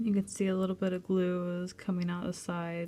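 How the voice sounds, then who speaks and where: A soft-spoken woman speaks at a fairly slow pace and medium pitch. Her intonation is monotone and flat. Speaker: crafts video creator. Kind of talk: tutorial.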